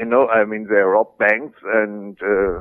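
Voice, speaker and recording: At a very slow pace, a man talks in a medium-pitched voice. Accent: German. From West Germany (Berlin). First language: German. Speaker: former militant turned author. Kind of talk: interview.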